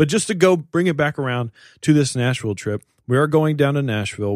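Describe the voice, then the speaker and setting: Speaking at a fairly quick pace with ordinary pitch variation, a man has an unremarkable speaking voice on a very clean recording with a silent background. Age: 20s. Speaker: podcast host. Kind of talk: casual chat.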